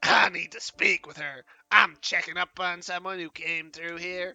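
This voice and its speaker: In a put-on character voice, the speaker keeps a monotone, flat intonation, recorded with a dry, close sound and no echo. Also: man, high pitch for a man, moderate pace. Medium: game stream. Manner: gruff, grumbling.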